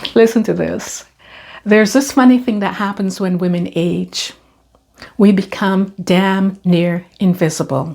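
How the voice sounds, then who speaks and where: At a very slow pace, a woman speaks with lively intonation at medium pitch. Her tone is dark and mellow, and somewhat breathy. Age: 60s. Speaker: lifestyle vlogger. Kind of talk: monologue to camera. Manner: animated.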